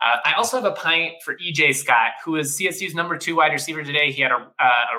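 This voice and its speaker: This man's pitch is fairly high. He moves at a fairly quick pace. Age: 20s. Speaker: sports podcast host. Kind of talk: casual sports talk. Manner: animated.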